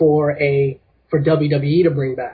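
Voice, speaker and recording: Speaking in a monotone with flat intonation, a man uses a fairly high pitch and a somewhat breathy voice. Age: 20s. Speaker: caller, wrestling fan. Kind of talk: casual chat. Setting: phone call.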